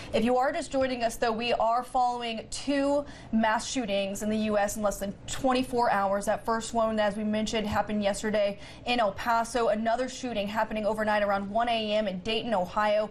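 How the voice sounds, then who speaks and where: Somewhat breathy, a woman speaks at a fairly quick pace in a fairly high pitch with fairly even intonation. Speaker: news anchor. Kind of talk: breaking news anchor read.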